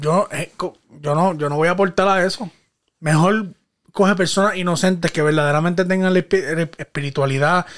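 A man in a Puerto Rican accent, high in pitch, at a moderate pace with ordinary pitch variation. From Puerto Rico (Guayama). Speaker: podcast host. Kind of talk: casual chat.

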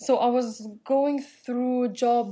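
This woman's voice is high in pitch and dark and mellow in tone. Her intonation is monotone and flat. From Europe. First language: non-English European language. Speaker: podcast host and real estate agent. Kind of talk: casual monologue.

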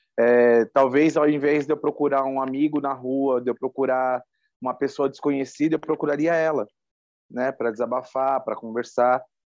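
Over a quiet background, a man speaks at a moderate pace and medium pitch in a flat monotone. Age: 30s. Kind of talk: interview testimony.

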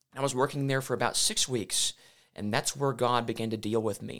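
A man with a Southern US accent speaks at a medium pitch. His pace is moderate. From US South, Memphis, Tennessee. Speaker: evangelist, former scientist. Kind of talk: interview.

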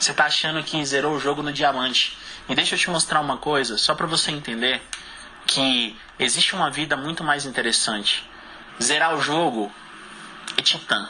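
A man at a fairly high pitch and moderate pace, with long, frequent pauses and noticeable background noise. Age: 20s. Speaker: multi-level marketing leader. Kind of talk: motivational talk. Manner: energetic; emphatic, repetitive.

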